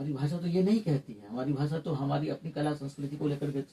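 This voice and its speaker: A man talks at a moderate pace with ordinary pitch variation and a fairly high pitch. His tone is dark and mellow, and somewhat breathy. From Mithila region, Bihar, India. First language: Maithili (speaking Hindi). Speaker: theatre academic. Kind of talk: interview. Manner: some hesitations, fillers.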